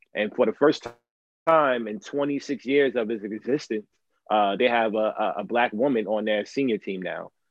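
A man speaks at a moderate pace in a medium pitch. His is an unremarkable speaking voice. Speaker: Amazon worker activist. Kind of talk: live stream interview. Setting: live stream, audio only.

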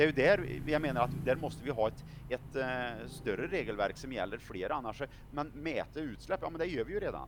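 A man with vocal fry talks at a fairly quick pace, his intonation lively. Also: medium pitch for a man. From Sweden, Värmland. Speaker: politician. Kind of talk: political interview.

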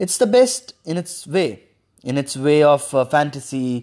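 This is a man talking. The audio is very clean, and the background is silent. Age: young. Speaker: solo podcaster. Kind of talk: casual monologue. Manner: halting.

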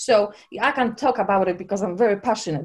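A woman speaks at a moderate pace in a Polish accent. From Poland. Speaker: personal trainer and holistic coach. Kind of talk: casual interview.

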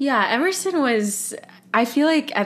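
A woman with a Californian accent. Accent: General American, California. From US West Coast, Los Angeles. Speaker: musical theater actor. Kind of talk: interview conversation. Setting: video call.

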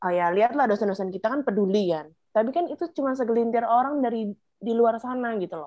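A woman's fairly high, animated voice at a very fast pace, with lively intonation, big swings in loudness and hardly any pauses. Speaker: podcast co-host. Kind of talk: casual chat.

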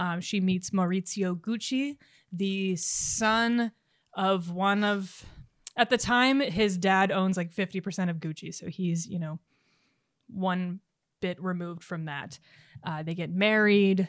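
Recorded very cleanly against a silent background, a woman speaks at a fairly slow pace in a plain, everyday voice. Her pitch is medium, with ordinary pitch variation. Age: 30s. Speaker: podcast co-host and cocktail maker. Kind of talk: casual chat; tutorial.

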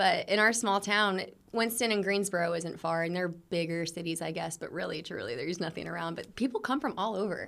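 A woman with an American accent has a plain, everyday voice, talking at a fairly quick pace with ordinary pitch variation. The recording is very clean, with a silent background. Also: medium pitch for a woman. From North Carolina. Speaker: influencer and actress. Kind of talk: casual interview chat.

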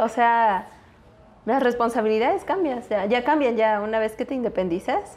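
A woman's unremarkable speaking voice, fairly high for a woman, with ordinary pitch variation at a moderate pace. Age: 20s. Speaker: chemical engineer. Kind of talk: casual chat.

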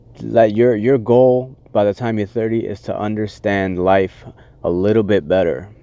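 A plain, everyday voice: a man with fairly low pitch, fairly even intonation and a moderate pace. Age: 30s. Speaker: podcast host. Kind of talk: solo motivational monologue. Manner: casual, with many filler words.

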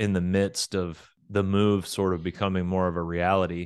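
In a very clean recording with a silent background, a man with a Southern US accent and a very deep, low pitch talks at a moderate pace in a monotone, flat delivery. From US South, Oklahoma. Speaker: rock band frontman. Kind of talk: casual interview.

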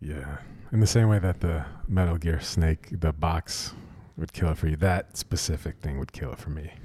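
Somewhat breathy, with a dark, mellow tone and a very deep, low pitch, a man speaks at a moderate pace with ordinary pitch variation. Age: 20s. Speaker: audio engineer. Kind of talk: casual chat.

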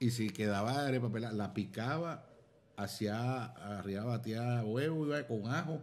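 Fairly slow male speech, audible room echo around it. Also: medium pitch for a man, ordinary pitch variation. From Venezuela, Zulia (Maracaibo). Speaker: comedian and actor. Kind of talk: casual chat over drinks. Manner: animated.

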